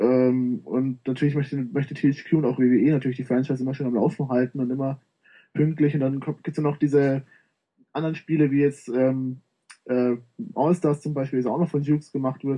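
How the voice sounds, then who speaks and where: Speaking at a fairly quick pace, a man uses a normal speaking voice at a medium pitch. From Bavaria, Munich. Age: 20s. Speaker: gaming website writer. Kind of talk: casual chat.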